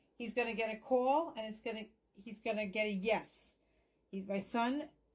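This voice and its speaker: A woman speaks in a fairly high, somewhat breathy voice. Her intonation stays fairly even. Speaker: psychic medium. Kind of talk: spell tutorial with prayer. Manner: whispering parts.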